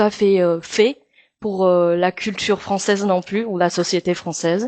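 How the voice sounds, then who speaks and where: A woman's medium-pitched voice, monotone and flat, at a fairly slow pace, with a dry, close sound free of echo and a quiet background. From Taiwan. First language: Mandarin (speaking French). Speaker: actress and singer. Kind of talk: interview. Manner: halting with many hesitations.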